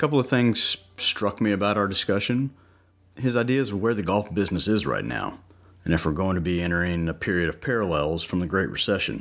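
Here a man with an unremarkable speaking voice talks in a fairly low pitch. He moves at a fairly quick pace with lively intonation. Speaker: podcast host. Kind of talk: casual interview.

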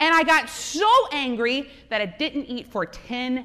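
This woman's voice sits high in pitch and is raised and projected, with lively intonation. Her tone is animated, and noticeable background noise runs underneath. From US South, South Louisiana. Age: 40s. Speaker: entrepreneur and speaker. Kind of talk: conference talk. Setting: stage with audience.

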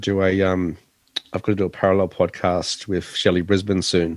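A man with a very deep, low voice and an Australian accent speaks in a flat monotone at a moderate pace, recorded dry and close with no echo. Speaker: tech podcast co-host and radio presenter. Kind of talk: casual tech chat. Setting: late evening at home office.

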